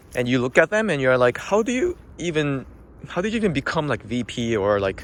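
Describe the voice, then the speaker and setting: Fairly high male pitch with very wide swings, a fairly quick pace and a non-native accent from a man. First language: not English. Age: middle-aged. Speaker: accountant vlogger. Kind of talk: casual vlog monologue. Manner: hesitant, many fillers.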